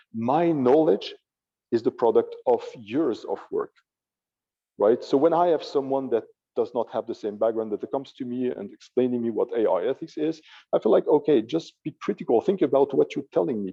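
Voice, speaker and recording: A man with a French accent speaks at a moderate pace. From France. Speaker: AI ethicist. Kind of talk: panel discussion.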